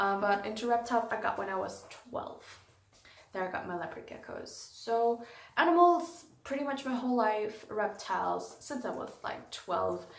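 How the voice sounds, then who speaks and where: A German accent, lively intonation and a moderate pace, with noticeable background noise and audible room echo. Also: woman, fairly high pitch for a woman. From Germany, Frankfurt. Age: 20s. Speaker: YouTuber, animal keeper. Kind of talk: casual Q&A vlog. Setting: indoors, animal room, late night.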